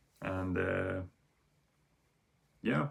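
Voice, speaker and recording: A man with a Swedish accent speaks at a very slow pace. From Sweden. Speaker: vinyl record YouTuber. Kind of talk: casual video monologue. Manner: halting, many fillers.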